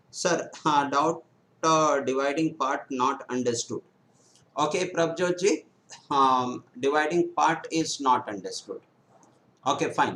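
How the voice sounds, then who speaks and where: With a bright, sharp tone, a man speaks at a fairly slow pace, leaving long, frequent pauses. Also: ordinary pitch variation. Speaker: math teacher for bank exams. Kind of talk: live online lecture. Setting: live stream on YouTube. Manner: hesitant, many fillers.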